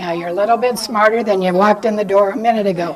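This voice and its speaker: Noticeable background noise behind a woman's voice with ordinary pitch variation. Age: 80s+. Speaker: lecturer on quilting history. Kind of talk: lecture. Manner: animated.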